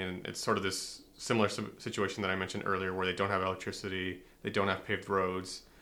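Speaking very fast with an American accent, a man has a bright, sharp tone. His pitch is fairly low. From US-Mexico border, southwestern Texas. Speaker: sociology doctoral researcher. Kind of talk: interview.

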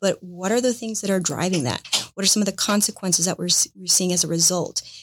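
On a very clean recording with a silent background, a woman with an American accent speaks in an ordinary speaking voice at a medium pitch and a fairly quick pace. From Paraguay and Florida. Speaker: nonprofit CEO and board member. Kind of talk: interview conversation.

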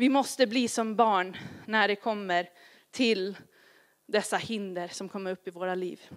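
In an English accent, a woman speaks at a very slow pace with a medium pitch and fairly even intonation. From grew up partly in Asia in a missionary family. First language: English (speaking Swedish). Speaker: pastor. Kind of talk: sermon.

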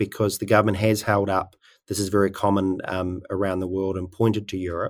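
A man's speech comes at a fairly quick pace, recorded very cleanly against a silent background. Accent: New Zealand. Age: 30s. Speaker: podcast host. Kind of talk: interview. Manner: halting.

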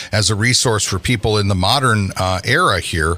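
A man speaks at a moderate pace in a medium pitch, with noticeable background noise behind him. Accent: American. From Michigan Upper Peninsula (Keweenaw). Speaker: podcast host. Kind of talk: interview.

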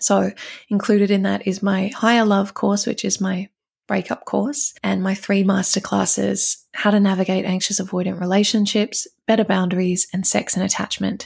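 With vocal fry, a woman speaks at a medium pitch and moderate pace in a monotone, flat intonation. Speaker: relationship coach podcast host. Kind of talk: advice podcast monologue.

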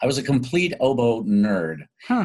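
A man with an American accent and a plain, everyday voice, medium pitch, lively intonation and a moderate pace. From US Midwest, Chicago then Tulsa, Oklahoma. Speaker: stage and screen actor, singer. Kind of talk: interview.

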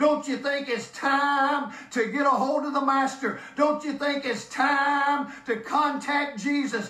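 Very slowly, a man speaks in a raised, projected voice at an extremely high pitch. His intonation is monotone and flat, and noticeable background noise runs behind him. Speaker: preacher. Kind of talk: sermon. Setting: church. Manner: emphatic, urgent, preacher in full flow.

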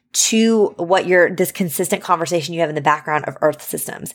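A woman talks with an unremarkable speaking voice. Her medium pitch moves with ordinary variation. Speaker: podcast host and former high school science teacher. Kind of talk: solo podcast Q&A episode. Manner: warm, encouraging, casual.

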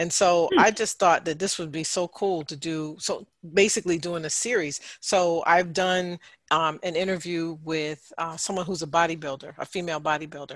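A normal speaking voice moves at a moderate pace with fairly even intonation over a quiet background. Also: woman, fairly low pitch for a woman. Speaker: podcast host, mental health counselor. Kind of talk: casual group chat. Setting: video call.

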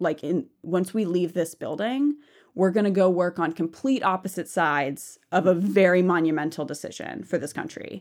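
A woman with an American accent uses an ordinary speaking voice at a fairly low pitch and a moderate pace. The pitch variation is ordinary, and the recording is very clean with a silent background. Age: 20s. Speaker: seminary student. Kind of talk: interview conversation.

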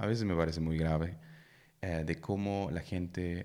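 Very deep and low in pitch, a man with a German accent talks at a fairly slow pace on a very clean recording with a silent background. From Germany. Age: 30s. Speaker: podcast co-host. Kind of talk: casual chat between spouses.

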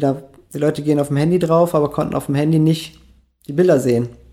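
A man with a dark, mellow tone and fairly high pitch, talking at a very fast pace, on a very clean recording with a silent background. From Austria, small village (Bregenz area, Vorarlberg). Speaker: graffiti artist and illustrator. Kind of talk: interview, casual chat.

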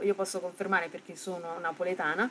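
A woman talks at a fairly quick pace. She has a plain, everyday voice. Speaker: podcast host. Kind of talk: radio-style presentation.

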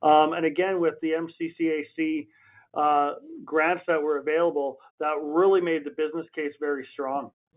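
A man with a Western Canadian accent, fairly high in pitch, in a monotone, flat intonation at a fairly slow pace. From Alberta, Canada. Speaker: municipal fleet manager, former oil worker. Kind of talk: interview. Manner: hesitant, many fillers.

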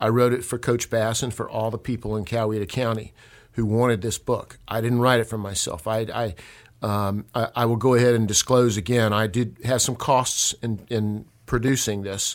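At a moderate pace, a man with a Southern US accent speaks at medium pitch in a monotone, flat intonation. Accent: Southern US (Georgia). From Georgia, US South. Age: 60s. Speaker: local author. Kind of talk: casual chat.

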